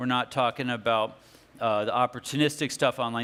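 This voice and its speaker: The tone is bright and sharp. It belongs to a man. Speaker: technology speaker on cybersecurity. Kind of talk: conference talk. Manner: fast.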